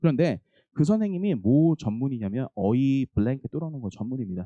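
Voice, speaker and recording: The voice moves through very wide pitch swings, with a dry, close sound and no echo. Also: man. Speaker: English academy teacher. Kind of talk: info session for parents. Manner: fast.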